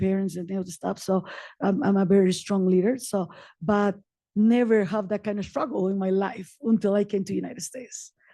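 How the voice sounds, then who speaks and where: Against a quiet background, a woman speaks at a moderate pace with a dark, mellow tone. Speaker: community advocate and nonprofit founder. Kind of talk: personal testimony at a public meeting. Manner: animated.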